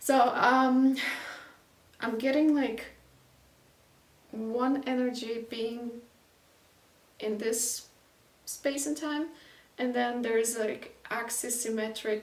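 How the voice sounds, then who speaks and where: A woman's high voice with a non-native accent, very slow with long, frequent pauses, amid audible room echo and noticeable background noise. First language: not English. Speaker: intuitive painter and channeler. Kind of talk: casual spoken energy reading while painting. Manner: halting, many fillers; unhurried, with intentional silences.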